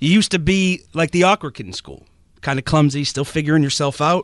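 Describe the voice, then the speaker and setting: A man in an unremarkable speaking voice talks at a fairly high pitch with ordinary pitch variation, in a dry, close sound with no echo. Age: 30s. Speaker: radio producer. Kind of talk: roast speech.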